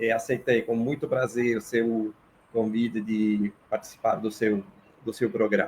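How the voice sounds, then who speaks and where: A man's medium-pitched voice at a fairly slow pace. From Italy, Naples. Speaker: political science professor. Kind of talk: interview.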